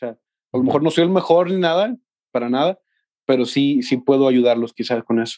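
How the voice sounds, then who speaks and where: A man with a dark, mellow, medium-pitched voice talks at a fairly quick pace with ordinary pitch variation and long, frequent pauses. The sound is dry and close with no echo against a quiet background. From Mexico, Los Altos de Jalisco. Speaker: music student and band trombonist. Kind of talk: casual interview.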